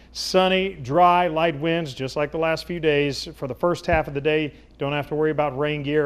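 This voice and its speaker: A normal speaking voice from a man, fairly high in pitch, at a moderate pace with ordinary pitch variation. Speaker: chief meteorologist, TV weather forecaster. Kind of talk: TV weather forecast.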